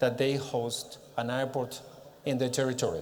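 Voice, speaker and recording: A man speaks at a fairly slow pace with a Catalan accent. His pitch is fairly high, and the room echo is audible. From Catalonia, Spain (Barcelona area). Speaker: director of a regional organization. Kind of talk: conference presentation. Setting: stage with audience at a congress. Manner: halting, with many fillers.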